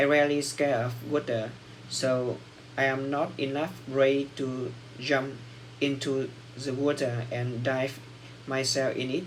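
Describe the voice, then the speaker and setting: Audible room echo surrounds a man of medium pitch who talks fairly slowly in a flat monotone, leaving long, frequent pauses. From Vietnam. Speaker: English learner. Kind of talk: speaking exam practice. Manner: halting.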